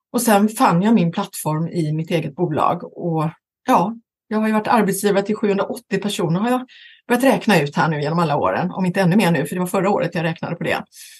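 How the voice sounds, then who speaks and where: Somewhat breathy, a woman talks at a very fast pace with a medium pitch and ordinary pitch variation. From western Sweden, Gothenburg area. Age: 50s. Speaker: talent agent, company founder. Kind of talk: interview.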